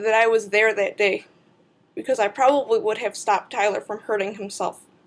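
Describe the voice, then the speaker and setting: At a fairly quick pace, the speech shows ordinary pitch variation. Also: woman. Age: 20s. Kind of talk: personal testimony to camera.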